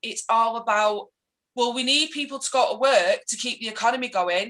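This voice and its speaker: A woman's high-pitched voice in a Mancunian accent. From Manchester, England. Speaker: political activist. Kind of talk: casual interview chat. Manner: animated, ranting.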